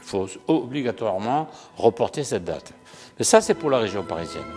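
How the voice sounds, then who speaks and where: Music plays in the background as a man with a Languedoc accent speaks at a fairly quick pace, his pitch swinging very widely. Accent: southern French (Languedoc). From southern France, Languedoc. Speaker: real estate association president. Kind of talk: interview answer. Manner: halting, frequent repetitions.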